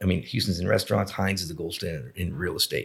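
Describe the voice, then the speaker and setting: A man talks with vocal fry at a very deep, low pitch. The recording is very clean, with a silent background. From South Florida (Boca Raton). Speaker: restaurant entrepreneur. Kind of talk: interview.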